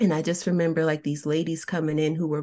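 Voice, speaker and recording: This woman speaks with a very deep, low pitch and fairly even intonation. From New Jersey. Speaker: author and self-worth coach. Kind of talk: interview testimony.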